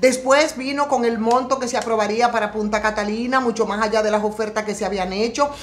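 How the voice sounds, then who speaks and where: Amid noticeable background noise, the speech comes in an animated tone at a fairly quick pace with hardly any pauses. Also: woman, fairly high pitch for a woman. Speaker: political commentator. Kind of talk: political commentary. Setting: home studio set.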